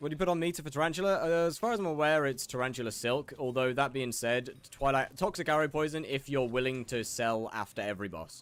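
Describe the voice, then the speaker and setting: A very fast British accent with hardly any pauses and ordinary pitch variation. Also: man, fairly high pitch for a man. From Britain. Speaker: gaming streamer. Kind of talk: live stream chat reading and answering viewer questions. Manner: halting, frequent restarts.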